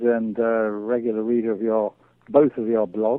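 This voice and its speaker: A man speaks at a medium pitch with an English accent. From England. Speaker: amateur cheesemaker and beekeeper. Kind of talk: interview.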